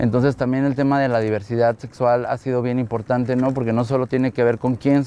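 A man speaks in a dark, mellow tone. His intonation is monotone and flat. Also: dry sound with no echo. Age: 30s. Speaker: photographer. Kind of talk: interview monologue. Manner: hesitant, many fillers.

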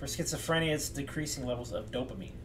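A man's voice over noticeable background noise. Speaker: mental health educator. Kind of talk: lecture. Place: home room. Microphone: webcam.

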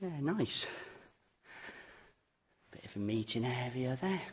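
A man talks slowly at a medium pitch, with lively intonation. His tone is fairly bright with a slightly husky edge.

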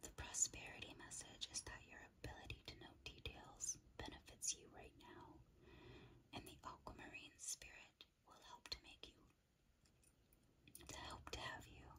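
A woman whispers with long, frequent pauses, keeping a moderate pace between them. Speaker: ASMR creator and tarot/crystal reader. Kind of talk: ASMR crystal card guidebook reading. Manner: whispered, soft-spoken. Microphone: studio mic.

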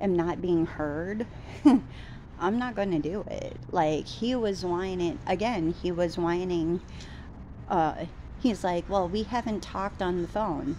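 Over light background noise, a woman talks at a very slow pace with ordinary pitch variation. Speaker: vlogger. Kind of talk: casual vlog chat. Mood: frustrated, venting about date. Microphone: phone near.

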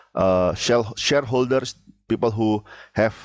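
A man with an Indonesian accent speaks at a fairly slow pace with ordinary pitch variation, the sound dry with no echo. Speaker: university lecturer. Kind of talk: lecture. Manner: halting, many filler sounds. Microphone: headset.

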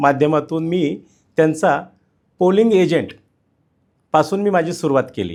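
A man's fairly high-pitched voice, a normal speaking voice with ordinary pitch variation, on a very clean recording with a silent background. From Pimpri-Chinchwad, Maharashtra, India. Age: 40s. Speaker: independent election candidate. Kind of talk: interview. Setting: studio.

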